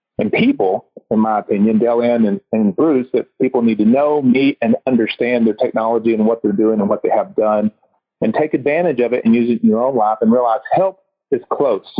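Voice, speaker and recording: With a Texas accent, a man speaks at a fairly quick pace in a medium pitch with ordinary pitch variation. His tone is energetic and his loudness very even. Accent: US Southern (Texas). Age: 50s. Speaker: chiropractor and podcast host. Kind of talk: casual interview chat.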